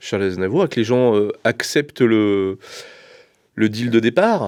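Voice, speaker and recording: Speaking at a medium pitch, the man talks very slowly. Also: ordinary pitch variation. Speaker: vocal coach. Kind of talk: interview. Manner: halting.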